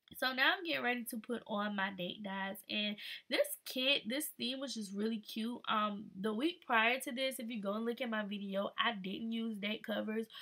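A woman's bright, sharp, fairly high voice at a moderate pace, with ordinary pitch variation and hardly any pauses. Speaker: lifestyle YouTuber. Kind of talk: voiceover tutorial narration. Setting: recorded voiceover. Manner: casual, filler-heavy.

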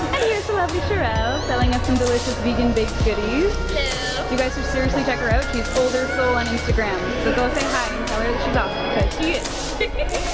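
Very fast speech plays against loud music in the background. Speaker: vlogger. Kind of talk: casual vlog chat. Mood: cheerful, friendly. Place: market. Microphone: phone near.

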